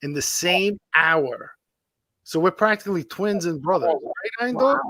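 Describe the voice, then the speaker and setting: Raised and projected, a man's high, bright, sharp voice comes at a fairly slow pace with lively intonation, in a dry, close sound with no echo. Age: 50s. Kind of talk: casual chat.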